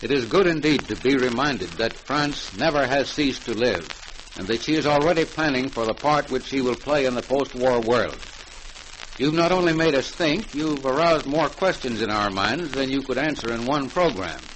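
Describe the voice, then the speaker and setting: A man's fairly high voice, with ordinary pitch variation, moves at a moderate pace amid noticeable background noise. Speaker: radio program host / announcer. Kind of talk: vintage radio broadcast announcer.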